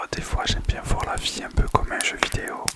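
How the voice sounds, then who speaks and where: There is noticeable background noise as a man whispers. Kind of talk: ASMR personal story. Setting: home microphone recording. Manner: whispered; casual, hesitant.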